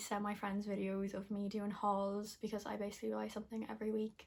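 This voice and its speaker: Speaking fast-ish with an Irish Midlands accent, a woman of medium pitch keeps a monotone, flat intonation at a fairly quick pace. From Ireland, Westmeath (Athlone). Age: 20s. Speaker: beauty and lifestyle vlogger. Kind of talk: casual vlog talk to camera. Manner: rambling, filler-heavy.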